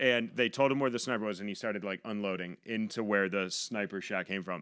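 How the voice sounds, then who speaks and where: Against a quiet background, a man with an Inland Northern US accent speaks at a fairly low pitch in a bright, sharp tone. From western New York, US. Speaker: comedian and Navy veteran. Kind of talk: casual chat. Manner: jokey, self-deprecating. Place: studio. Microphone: studio mic.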